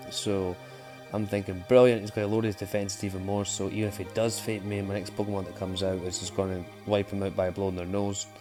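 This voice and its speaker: A man with a Scottish accent speaks at a very fast pace and a fairly low pitch. His intonation is monotone and flat, with music in the background. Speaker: gaming YouTuber. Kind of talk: gameplay commentary. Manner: casual, sweary.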